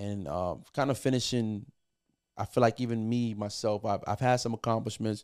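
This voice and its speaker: With a New York accent, a man speaks at a moderate pace in a fairly low pitch and with fairly even intonation. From New York, Puerto Rican family. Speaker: music producer. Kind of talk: casual chat.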